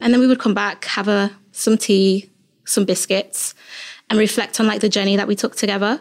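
A woman with an unremarkable speaking voice and medium pitch talks at a moderate pace, her intonation fairly even and her loudness very even, on a very clean recording with a silent background. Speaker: community engagement worker at a data organisation. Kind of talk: casual interview chat.

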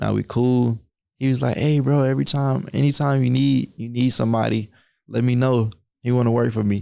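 A man speaks at a medium pitch with a dark, mellow tone and fairly even intonation, on a very clean recording with a silent background. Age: 20s. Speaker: young entrepreneur and credit educator. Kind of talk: casual interview.

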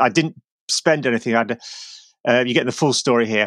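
In a dry, close sound with no echo, a man talks at a very fast pace with ordinary pitch variation. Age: 40s. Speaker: cyclist and author of climbing guidebooks. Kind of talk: casual chat. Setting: remote call from home basement.

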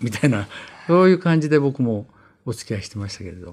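Pitching his voice in a medium range, a man swings it very widely up and down. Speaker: veteran anime director. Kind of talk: interview. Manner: halting, many fillers.

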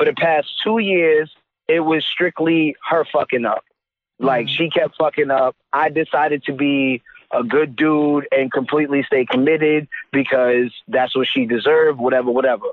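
Using an unremarkable speaking voice, a man with an American accent and a fairly high pitch speaks at a moderate pace with very even loudness. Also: ordinary pitch variation. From New York. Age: 20s. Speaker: caller. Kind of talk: casual chat. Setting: phone call.

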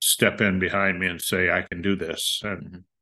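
A man with an American accent, very deep and low in pitch, bright and sharp in tone, at a moderate pace, in a dry, close sound with no echo. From US Midwest, northwest Ohio. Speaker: farmer. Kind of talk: interview.

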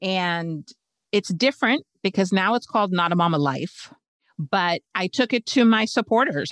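A woman with a normal speaking voice and medium pitch shows ordinary pitch variation, recorded dry and close with no echo over a quiet background. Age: 50s. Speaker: occupational therapist turned podcast launch strategist. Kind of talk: interview.

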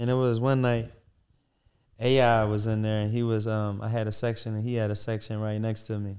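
The man's voice sits at a medium pitch, with monotone, flat intonation. He talks at a fairly quick pace. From Philadelphia (West Philly). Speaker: restaurant entrepreneur. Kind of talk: interview, casual chat.

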